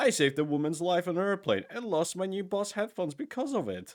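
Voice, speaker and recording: A man with a non-native accent at a very fast pace. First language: not English. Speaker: gaming youtuber. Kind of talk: casual gameplay commentary with reading aloud. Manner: halting, stumbling over words.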